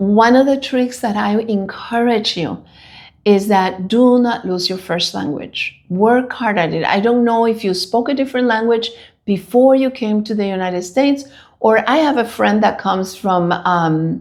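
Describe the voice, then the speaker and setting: A woman speaks at a moderate pace with a Spanish accent. Her pitch is fairly high, with ordinary variation. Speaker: bilingual translator. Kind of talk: casual chat.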